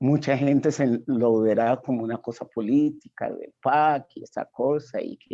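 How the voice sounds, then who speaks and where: Against a quiet background, a man talks very slowly at a medium pitch. His tone is dark and mellow, with ordinary pitch variation. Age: 70s. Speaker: retired literature professor. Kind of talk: panel discussion.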